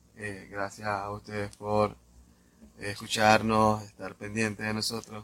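The delivery is monotone and flat, at a very slow pace. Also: man. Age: 20s. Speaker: podcast host. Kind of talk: interview.

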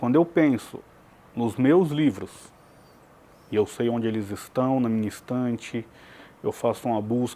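In a dark, mellow tone, a man talks fairly slowly at a medium pitch with ordinary pitch variation. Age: 40s. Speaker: writer and literature academic, founder of a writers' academy. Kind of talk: TV interview.

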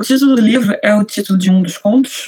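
Fairly high-pitched, somewhat breathy speech from a woman. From Rio de Janeiro, Brazil. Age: 20s. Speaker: author. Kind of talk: interview.

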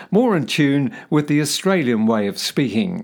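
A man talks in a fairly high-pitched voice. His pitch swings very widely. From New Zealand. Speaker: voice trainer and podcast host. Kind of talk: instructional podcast monologue. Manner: clear, formal, instructional.

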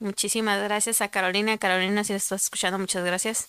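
A woman with a Mexican accent, fairly high pitch and a bright, sharp tone, on a very clean recording with a silent background. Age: 20s. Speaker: podcast co-host. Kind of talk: casual chat.

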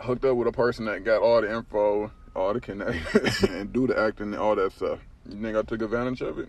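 A man's voice at a very fast pace, with noticeable background noise. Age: 30s. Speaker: podcast host. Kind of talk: casual monologue. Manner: laid-back, laughing often.

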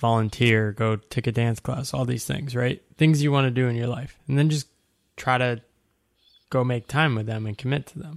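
A man's normal speaking voice at a medium pitch, with fairly even intonation and a moderate pace, in a very clean recording with a silent background. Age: 30s. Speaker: writer and coach. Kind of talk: casual interview.

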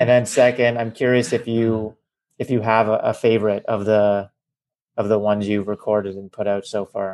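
The man talks at a moderate pace with a medium pitch. His intonation stays monotone and flat. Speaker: podcast host. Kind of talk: podcast interview with ad read. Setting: remote recording over call.

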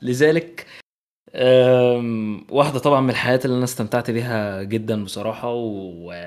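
This man has a medium pitch and ordinary pitch variation. He speaks at a fairly slow pace. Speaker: podcast host. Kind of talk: casual film review chat.

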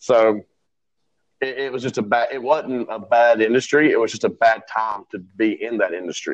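Speaking at a moderate speed, this man has an unremarkable speaking voice. His intonation is fairly even and his pitch sits at a medium level. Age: 30s. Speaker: entrepreneur. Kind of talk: casual chat.

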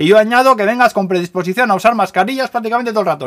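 A man talks at a very fast pace. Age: 40s. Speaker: news podcaster. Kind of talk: casual news roundup.

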